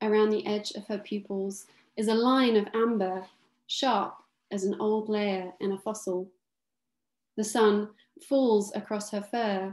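A fairly high-pitched woman, monotone and flat, at a fairly slow pace with long, frequent pauses and audible room echo. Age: 30s. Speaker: author. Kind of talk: book launch conversation with reading aloud. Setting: video call from her kitchen. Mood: calm, dreamy, evocative. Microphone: webcam.

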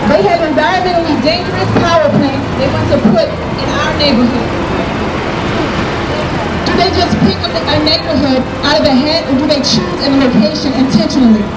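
Someone speaks at a moderate pace with crowd noise in the background. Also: woman. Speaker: speaker. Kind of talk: rally speech. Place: street. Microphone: camera far.

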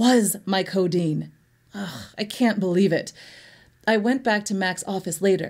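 Natural-voiced reading aloud

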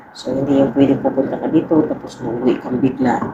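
Spoken at a moderate pace in a flat monotone, the voice comes with noticeable background noise and audible room echo. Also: woman. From Philippines. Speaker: vlogger, overseas Filipino worker. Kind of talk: casual vlog talk to camera.

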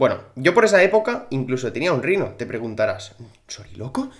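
An animated man with a fairly high pitch talks at a fairly quick pace, with very wide pitch swings and big swings in loudness. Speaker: gaming youtuber. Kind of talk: casual gaming commentary.

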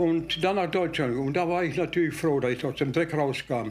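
A man speaks with a high voice. Faint music plays in the background. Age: 80s+. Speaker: master baker; war veteran. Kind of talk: interview answer. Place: kitchen.

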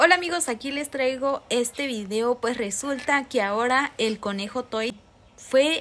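Using a high voice with ordinary pitch variation, a woman speaks at a fairly slow pace. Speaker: entertainment gossip vlogger. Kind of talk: casual vlog chat. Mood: cheerful, smiling. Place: home room. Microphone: phone near.

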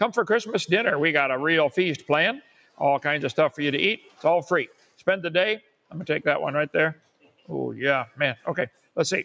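With a bright, sharp tone, a man talks at a moderate pace. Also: ordinary pitch variation. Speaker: channel host. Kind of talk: livestream announcements and commentary. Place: home room. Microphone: lapel.

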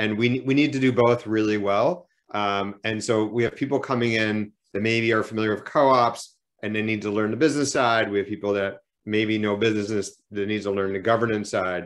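Over a quiet background, a man with an American accent and a normal speaking voice talks at a fairly quick pace with fairly low pitch and fairly even intonation. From United States. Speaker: co-op accelerator director; panelist. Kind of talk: online panel presentation. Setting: video call. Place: home room. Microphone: video call.

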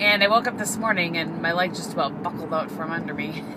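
With noticeable background noise behind her, a woman speaks at a moderate pace. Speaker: vlogger. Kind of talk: casual vlog chat. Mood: chatty, cheerful. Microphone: phone near.

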